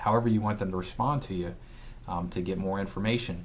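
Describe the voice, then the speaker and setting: A man with a very deep, low pitch at a fairly quick pace, with ordinary pitch variation and audible room echo. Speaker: physical therapist giving marketing tips. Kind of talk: casual talk to camera. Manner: stutters, many fillers.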